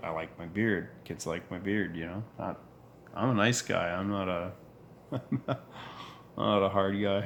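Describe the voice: A low-pitched man with a fairly bright tone speaks at a fairly slow pace with long, frequent pauses and ordinary pitch variation.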